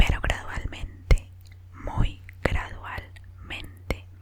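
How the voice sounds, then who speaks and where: A woman's whisper amid noticeable background noise. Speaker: ASMR creator. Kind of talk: story reading. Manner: whispered.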